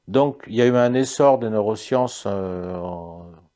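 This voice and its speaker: Over a silent background in a very clean recording, a man talks with lively intonation at a fairly low pitch. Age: 60s. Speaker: psychiatrist. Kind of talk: interview. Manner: halting.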